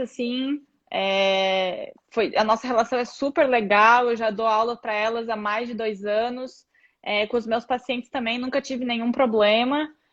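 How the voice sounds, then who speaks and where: A woman's fairly high voice in a Brazilian accent, with fairly even intonation at a moderate pace. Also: quiet background. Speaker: physiotherapist. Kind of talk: live video chat.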